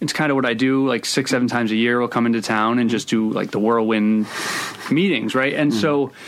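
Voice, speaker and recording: Over noticeable background noise, a man with an American accent speaks very fast at a medium pitch with ordinary pitch variation. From Providence, Rhode Island, US. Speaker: screenwriter. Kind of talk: casual interview.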